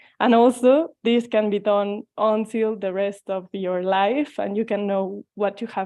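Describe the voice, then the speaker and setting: A woman with a Mexican accent speaks at a fairly slow pace, her fairly high voice keeping a fairly even intonation. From Mexico. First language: Spanish. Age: 20s. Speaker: tarot reader. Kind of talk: online presentation. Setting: video call.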